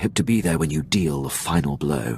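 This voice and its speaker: Growling in a put-on character voice, a man speaks at a very deep, low pitch with lively intonation and a fairly quick pace over clear background noise. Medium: video game. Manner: formal, deferential.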